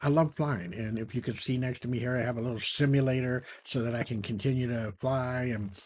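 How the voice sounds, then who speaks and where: Somewhat breathy, a man talks at a fairly quick pace and a medium pitch. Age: 70s. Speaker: retired entrepreneur and YouTuber. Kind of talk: casual talk to camera. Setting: home office beside a flight simulator. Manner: conversational with frequent fillers.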